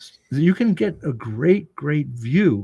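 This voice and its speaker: Pitch swings very widely as a man talks with an American accent. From Italy, then US. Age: 60s. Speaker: sculptor. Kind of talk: interview. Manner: halting.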